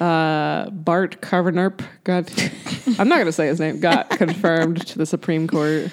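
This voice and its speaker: With a plain, everyday voice and an American accent, a woman speaks at a moderate pace, her pitch fairly low and her intonation fairly even. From South Carolina. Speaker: podcast co-host for an abortion-rights group. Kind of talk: casual chat.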